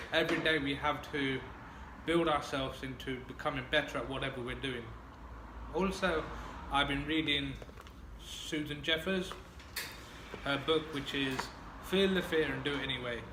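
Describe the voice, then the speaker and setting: A man with a fairly high pitch talks at a moderate pace, with long, frequent pauses. Audible room echo and noticeable background noise are present. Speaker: person who stammers. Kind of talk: casual chat. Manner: stammering.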